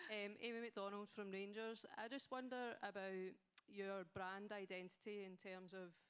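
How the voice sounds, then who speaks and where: A woman's medium-pitched voice with a Scottish accent. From Scotland. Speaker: audience member, club staff. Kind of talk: audience question. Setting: stage with audience.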